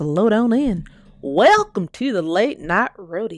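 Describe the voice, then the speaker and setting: A woman's voice comes through dry and close with no echo, in a very clean recording with a silent background. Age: 40s. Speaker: commentary livestreamer. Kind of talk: casual live-stream talk. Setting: live stream. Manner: animated.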